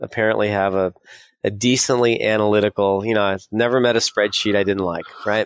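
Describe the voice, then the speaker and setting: With a Californian accent, a man speaks fairly quickly at a fairly low pitch in a monotone, flat intonation, the sound dry and close with no echo. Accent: Californian American. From US West Coast (San Diego, California). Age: 50s. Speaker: financial advisor and software company founder. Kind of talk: interview.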